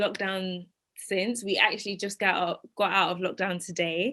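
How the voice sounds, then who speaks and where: The speaker is a woman. She talks with a London accent. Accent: British (London). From East London, England. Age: 20s. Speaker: dating podcast guest. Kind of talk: casual chat.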